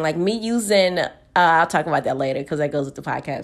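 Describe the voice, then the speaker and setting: Animated and fairly quick, a woman talks in an American accent. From Texas, Houston. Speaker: podcast host. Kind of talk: casual monologue. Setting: at home in her room.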